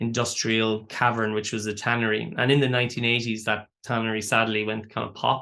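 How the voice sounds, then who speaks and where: A man with an Irish accent, medium pitch and a bright, sharp tone, speaking at a fairly quick pace over a quiet background. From Ireland, County Waterford. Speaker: artist and educator. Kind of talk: interview. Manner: hesitant, many fillers and repeats.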